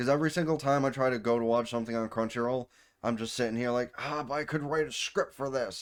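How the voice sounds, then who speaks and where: On a very clean recording with a silent background, a man has an ordinary speaking voice, medium pitch and ordinary pitch variation. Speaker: anime reviewer and streamer. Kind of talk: casual video outro.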